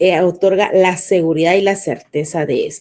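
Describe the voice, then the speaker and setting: Here a woman speaks at a fairly slow pace. Her tone is dark and mellow. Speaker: law lecturer. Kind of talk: online lecture.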